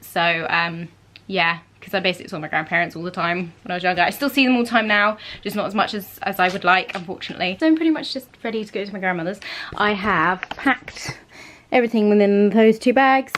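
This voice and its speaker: Words come at a very fast pace with ordinary pitch variation. Noticeable background noise sits behind them. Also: woman, medium pitch for a woman. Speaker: vlogger and young actor. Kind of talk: casual vlog chat. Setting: grandparents' spare room.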